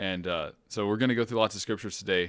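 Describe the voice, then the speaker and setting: A man with an American accent and a fairly low pitch uses fairly even intonation in an unremarkable speaking voice. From US Midwest. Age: 20s. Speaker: Bible college student. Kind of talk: casual chat.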